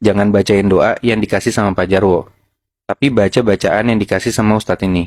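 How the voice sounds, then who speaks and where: In an unremarkable speaking voice, the speaker goes at a fairly quick pace with fairly even intonation and very even loudness, the sound dry and close with no echo. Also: man, fairly low pitch for a man. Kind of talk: casual storytelling of a horror tale to friends.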